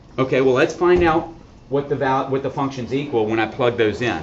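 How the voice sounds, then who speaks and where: A man's medium-pitched voice, with ordinary pitch variation, comes through noticeable background noise and audible room echo. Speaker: math teacher. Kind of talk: classroom lecture.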